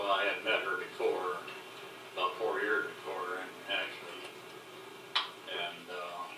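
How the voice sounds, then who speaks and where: Music plays in the background as a man talks at a fairly slow pace. Long pauses break up his speech often. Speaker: war veteran. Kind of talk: oral history interview. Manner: casual, reminiscing.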